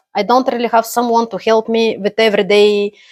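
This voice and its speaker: On a very clean recording with a silent background, a woman speaks at a fairly high pitch in a dry, close sound with no echo. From Bulgaria. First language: Bulgarian. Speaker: immigrant, accountant. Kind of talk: personal story monologue. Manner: halting, many fillers.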